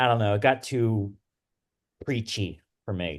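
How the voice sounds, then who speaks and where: Against a quiet background, a man with a strong Philadelphia accent speaks at a fairly slow pace. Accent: thick Delco. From Wilmington, Delaware / Delco area. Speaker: podcast co-host. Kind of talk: casual chat.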